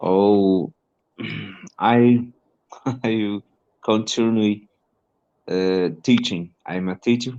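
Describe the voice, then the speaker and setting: Against a quiet background, a man with a dark, mellow tone speaks at a very slow pace, with fairly even intonation and long, frequent pauses. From northern Brazil. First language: Portuguese. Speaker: English teacher and learner. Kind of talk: casual conversation lesson. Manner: halting.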